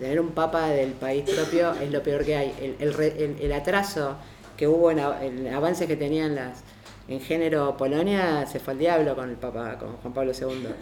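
Audible room echo around a woman's very deep, low voice, with ordinary pitch variation and a fairly slow pace. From Argentina. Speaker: lawyer and feminist activist. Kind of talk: panel talk.

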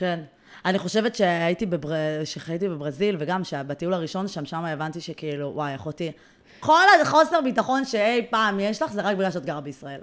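With an ordinary speaking voice, a woman speaks at a moderate pace in a fairly low pitch, her intonation lively. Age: 30s. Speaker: podcast host and blogger. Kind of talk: casual chat.

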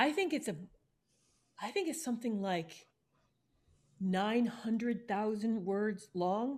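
A somewhat breathy woman speaks at a fairly high pitch with lively intonation. Her pace is very slow, with long, frequent pauses.

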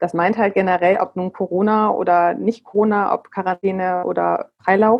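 Keeping a moderate pace with hardly any pauses, a woman speaks at a medium pitch in monotone, flat intonation. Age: 40s. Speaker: parenting coach. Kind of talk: casual interview. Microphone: bumpy sound from bad internet.

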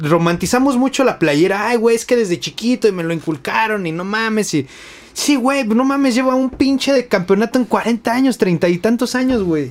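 A man with a high pitch and lively intonation talks at a moderate pace. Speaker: podcast host. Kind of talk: casual chat.

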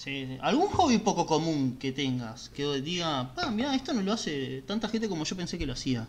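Over noticeable background noise, a man speaks at a moderate pace with hardly any pauses, his fairly high voice making very wide pitch swings. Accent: Rioplatense. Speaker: podcast co-host. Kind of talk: casual interview.

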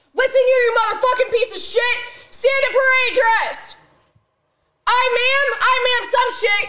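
In a put-on character voice, a woman shouts at an extremely high pitch, raised and projected, with monotone, flat intonation at a fairly slow pace. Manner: yelling, aggressive, barking orders.

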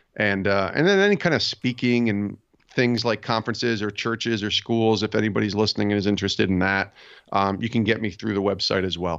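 An ordinary speaking voice belongs to a man with an American accent. He talks at a fairly quick pace with fairly even intonation. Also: fairly low pitch for a man. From upstate New York. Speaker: sports podcast host and author. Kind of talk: casual interview chat.

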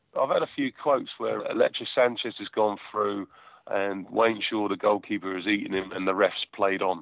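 A man with a southern English accent at a moderate pace. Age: 40s. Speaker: football goalkeeper. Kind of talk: interview.

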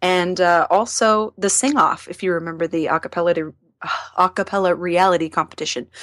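A woman talks at a fairly quick pace in an unremarkable speaking voice, fairly low in pitch with ordinary pitch variation. The recording is very clean, with a silent background and a dry, close sound with no echo. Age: 30s. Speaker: singer and voice actor. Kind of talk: interview.

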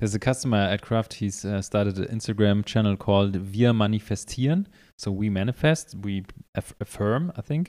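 A man speaks with a German accent at a fairly quick pace. His fairly low voice has a dark, mellow tone. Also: ordinary pitch variation, very clean recording, silent background. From Germany. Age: 30s. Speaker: podcast host, coffee shop owner. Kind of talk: casual interview.

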